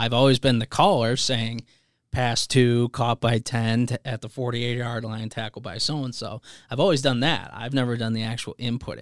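In a very clean recording with a silent background and a dry, close sound with no echo, a man with an American accent speaks at a moderate pace, medium in pitch, with fairly even intonation. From US Midwest, Chicago suburbs. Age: 20s. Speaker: college sports information director. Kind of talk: casual podcast interview.

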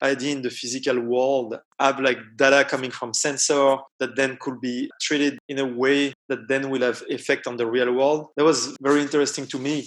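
A man with a French accent, medium pitch, moderate pace and flat, monotone intonation. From France, Paris suburbs. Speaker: computational designer. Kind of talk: interview.

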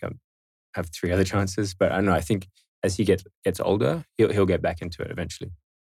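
The recording is very clean, with a silent background. A man speaks very fast with fairly even intonation. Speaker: surf shop co-founder. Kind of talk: interview. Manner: calm.

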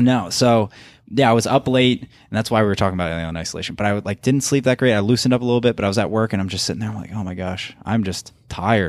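A man speaks at a very fast pace in a fairly low pitch with ordinary pitch variation, on a very clean recording with a silent background. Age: 20s. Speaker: podcast host. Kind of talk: casual interview chat. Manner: fast talker.

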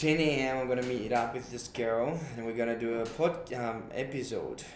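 With noticeable background noise, a man speaks at a moderate pace. His pitch is medium and his intonation fairly even. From Brazil. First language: Portuguese. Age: 20s. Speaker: podcast host. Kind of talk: casual conversation, podcast intro. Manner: hesitant, fillers.

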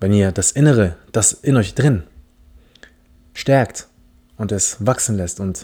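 In a very clean recording with a silent background, a man with a fairly low pitch and a dark, mellow tone speaks with ordinary pitch variation. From Philippine heritage. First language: English (speaking German). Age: 20s. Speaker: podcast host. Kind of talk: casual monologue. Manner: animated.

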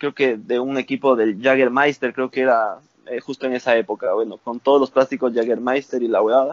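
A man speaks with an unremarkable speaking voice at a medium pitch. His intonation is fairly even. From Ecuador, Valle de los Chillos near Quito. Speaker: motocross rider. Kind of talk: casual chat.

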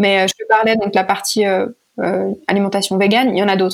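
The recording is very clean, with a silent background. A woman talks very fast at a medium pitch in a monotone, flat delivery. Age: 20s. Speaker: startup founder and CEO. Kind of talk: interview.

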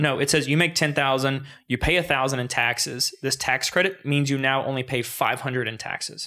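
Bright, sharp tone at a fairly quick pace with fairly even intonation. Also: man, medium pitch for a man. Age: 20s. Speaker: accountant and podcast host. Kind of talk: casual interview.

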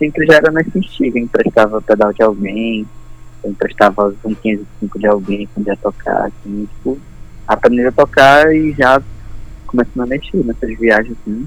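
A plain, everyday voice moves along at a moderate pace. Its pitch varies in an ordinary way. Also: man, medium pitch for a man. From Belém, Pará, Brazil. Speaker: guitar pedal builder. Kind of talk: casual interview. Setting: phone call.

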